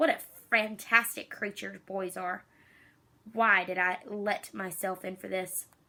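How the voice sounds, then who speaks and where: A woman does a put-on character voice with a rumbling quality. Her pitch is medium and her pace fairly slow. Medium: read story. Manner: grumbling, petulant.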